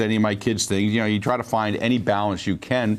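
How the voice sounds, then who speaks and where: There is a plain, everyday voice here, a man's, fairly low in pitch with fairly even intonation, captured on a very clean recording with a silent background. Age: 60s. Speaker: talk show host and state legislator. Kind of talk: talk show commentary monologue. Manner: conversational, many fillers and restarts.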